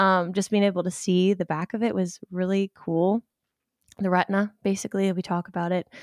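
A woman's medium-pitched voice at a fairly quick pace, monotone and flat, with very even loudness, on a very clean recording with a silent background and a dry, close sound with no echo. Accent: American. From Ohio. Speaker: medical student. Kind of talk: casual chat. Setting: at home.

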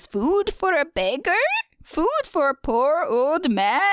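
A woman puts on a high-pitched character voice and speaks at a fairly slow pace. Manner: pleading, raspy.

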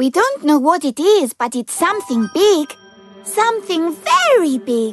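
A female-sounding, put-on character voice at an extremely high pitch with very wide pitch swings, moderate in pace, over faint background music. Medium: read story.

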